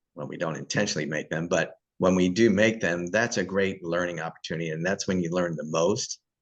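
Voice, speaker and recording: With an American accent, a man speaks fairly quickly at a very deep, low pitch, his intonation fairly even against a quiet background. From US South. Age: 60s. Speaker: YouTube host. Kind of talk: casual interview chat.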